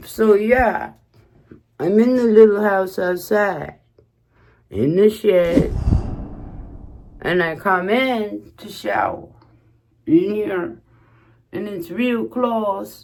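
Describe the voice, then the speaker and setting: Speaking at a very slow pace with long, frequent pauses, a woman uses a medium pitch and lively intonation. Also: big swings in loudness. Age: 60s. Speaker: YouTuber. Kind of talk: casual home tour to camera.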